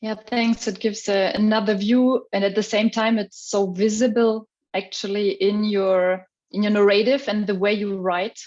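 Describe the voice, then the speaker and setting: A woman with a non-native accent, fairly high pitch, monotone, flat intonation and a moderate pace. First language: not English. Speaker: academic moderator. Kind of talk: panel conversation. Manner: halting.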